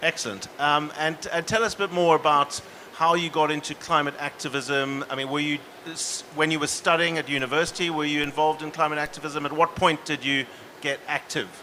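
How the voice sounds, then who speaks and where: A South African accent at a fairly quick pace, fairly even in intonation, with noticeable background noise. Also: man, fairly high pitch for a man. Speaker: panel moderator. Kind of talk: panel discussion.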